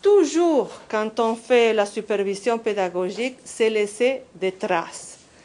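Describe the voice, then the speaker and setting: With a non-native accent, a woman speaks at a very slow pace in a fairly high pitch. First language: not French (speaking French). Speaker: professor. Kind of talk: conference workshop presentation. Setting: conference workshop. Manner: halting.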